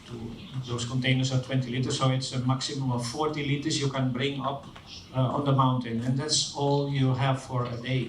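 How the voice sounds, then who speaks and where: A man with a Dutch accent speaks at a moderate pace in a monotone, flat way. Audible room echo and noticeable background noise surround his voice. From Netherlands. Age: 60s. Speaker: engineer and social entrepreneur. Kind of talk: conference talk.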